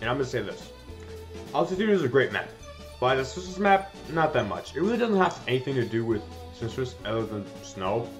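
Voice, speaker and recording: A man talks at a medium pitch, his voice making very wide pitch swings. Music plays in the background. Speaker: gaming video reviewer. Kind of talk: casual game review commentary.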